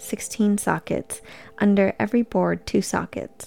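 With music in the background, a woman speaks at a fairly slow pace in a calm, soothing tone, her pitch medium with ordinary variation. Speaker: scripture narrator. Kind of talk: scripture audiobook reading. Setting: studio with background music. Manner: slow, even, calm and soothing; formal, measured.

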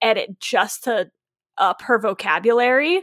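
A loud, high-pitched woman's voice in a dry, close sound with no echo. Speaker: podcast co-host, author. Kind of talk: casual chat, podcast on writing. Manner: loud, talkative; playful, jokey.

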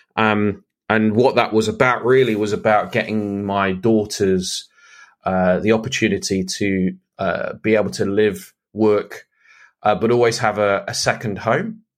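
Fairly even intonation at a fairly slow pace with a British accent, in a very clean recording with a silent background. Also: man, fairly low pitch for a man. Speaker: podcast host and business coach. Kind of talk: solo podcast monologue. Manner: casual, many fillers.

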